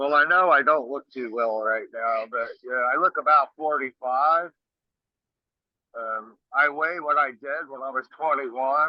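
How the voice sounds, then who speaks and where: A man talks at a fairly slow pace with a fairly high pitch and ordinary pitch variation. His is a normal speaking voice. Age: 60s. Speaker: rock singer. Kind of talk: interview. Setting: video call. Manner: casual.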